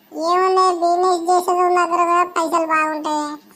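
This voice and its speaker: Using a put-on character voice, a woman speaks at an extremely high pitch with fairly even intonation and a moderate pace. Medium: comedy sketch. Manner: blunt, gossipy, complaining.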